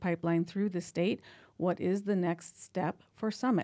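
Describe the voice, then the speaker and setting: In a very clean recording with a silent background, a woman of medium pitch talks at a moderate pace with fairly even intonation and an unremarkable speaking voice. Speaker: radio host. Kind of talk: live radio interview. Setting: studio.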